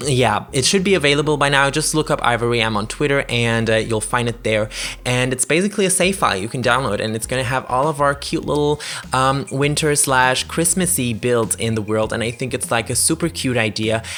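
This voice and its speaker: A man's medium-pitched voice with a non-native accent, lively intonation and a fairly quick pace. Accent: non-native English speaker. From Germany. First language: German. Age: 20s. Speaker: gaming YouTuber. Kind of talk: gameplay commentary voiceover. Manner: halting, many fillers.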